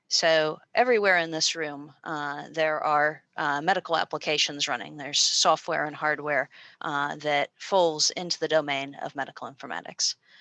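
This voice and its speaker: A woman with an American accent speaks in a very deep, low voice with a bright, sharp tone and fairly even intonation. She keeps a moderate pace with hardly any pauses, the sound dry and close with no echo over a quiet background. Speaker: university lecturer. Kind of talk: informational presentation. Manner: many filler words.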